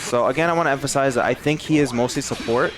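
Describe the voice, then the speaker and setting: A man at a fairly quick pace with ordinary pitch variation, music playing in the background. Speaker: fighting game content creator. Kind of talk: game analysis commentary. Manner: stuttering; casual, hesitant with fillers.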